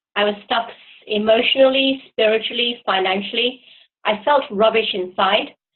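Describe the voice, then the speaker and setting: A woman with a British accent speaks at a fairly high pitch with fairly even intonation. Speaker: client. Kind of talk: testimonial interview.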